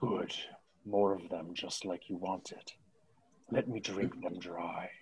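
A man's put-on character voice, fairly low in pitch and at a fairly slow pace. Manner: hungry, menacing.

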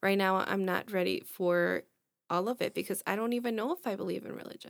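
A woman speaks at a fairly quick pace with medium pitch and fairly even intonation. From El Salvador, raised in US from age four. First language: Spanish. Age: 20s. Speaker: podcast co-host. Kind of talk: casual chat. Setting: studio.

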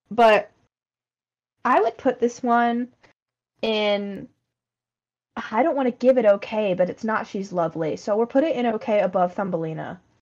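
A woman with a fairly high pitch speaks at a moderate pace, her pitch varying in an ordinary way and broken by long, frequent pauses. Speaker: podcast host. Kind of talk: casual chat.

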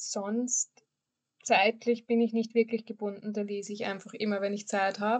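Her pitch is fairly high and her intonation monotone and flat. The woman keeps a moderate pace. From Austria. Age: 20s. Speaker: podcast host, teacher. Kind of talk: casual chat.

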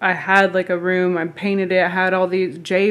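With a Southern US accent, a woman speaks at a medium pitch. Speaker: podcast guest. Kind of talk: casual chat.

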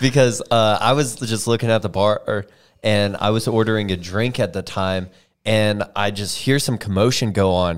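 Over a very clean recording with a silent background, a man with a fairly low pitch uses an ordinary speaking voice at a moderate pace with fairly even intonation. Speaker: podcast host. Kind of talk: casual chat.

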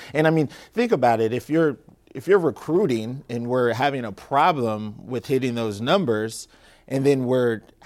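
A normal speaking voice from a man with an American accent, medium pitch, ordinary pitch variation and a moderate pace, in a very clean recording with a silent background. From Tacoma, Washington. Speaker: documentary film producer. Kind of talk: interview. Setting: TV studio.

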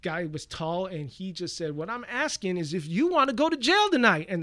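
The voice is raised and projected, with a bright, sharp tone and very wide pitch swings. It moves at a moderate pace on a very clean recording with a silent background. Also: man. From Washington, D.C. (Air Force brat, also Central America). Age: 40s. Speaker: fighting game community organizer and host. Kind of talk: casual chat. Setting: podcast recording.

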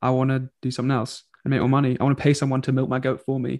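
Very fast speech from a man whose pitch sits at a medium level. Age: 20s. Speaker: podcast co-host. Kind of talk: casual chat.

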